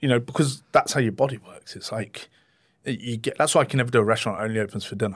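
A man speaks very fast with an English accent, his loudness swinging widely. The recording is very clean, with a silent background. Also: medium pitch for a man, ordinary pitch variation. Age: 40s. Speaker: chef. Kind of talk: interview.

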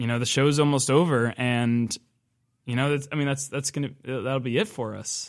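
A man's ordinary speaking voice, fairly high in pitch, at a moderate pace on a very clean recording with a silent background. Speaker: college radio host. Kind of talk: casual chat. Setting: studio.

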